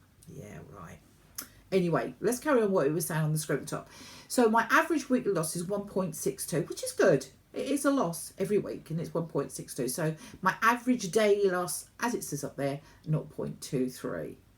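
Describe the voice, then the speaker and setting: Recorded very cleanly with a silent background, a woman with a British accent talks fairly quickly at a fairly low pitch, with vocal fry, big swings in loudness and very wide pitch swings. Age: 60s. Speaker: vlogger. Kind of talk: casual chat.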